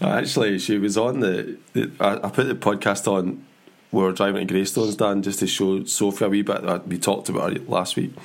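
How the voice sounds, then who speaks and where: At a moderate pace, a man with fairly low pitch talks in a plain, everyday voice with fairly even intonation. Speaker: podcast host.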